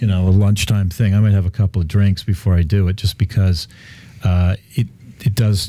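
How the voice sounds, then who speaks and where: With a Canadian accent, a man talks at a moderate pace in a fairly low, somewhat breathy voice of dark, mellow tone and ordinary pitch variation. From Canada. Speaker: real estate developer. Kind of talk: casual chat. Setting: radio studio. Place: studio. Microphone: studio mic.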